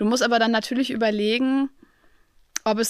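A normal speaking voice from a woman, fairly high in pitch, at a moderate pace. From Germany, Aachen. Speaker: podcast host. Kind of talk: casual interview. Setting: studio.

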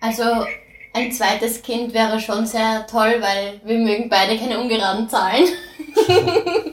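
A woman speaks with an Austrian accent at a fairly slow pace, her pitch fairly high. She leaves long, frequent pauses, and her pitch varies in an ordinary way. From Austria (since age four). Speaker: horse farmer. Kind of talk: casual interview. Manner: lively, bubbly.

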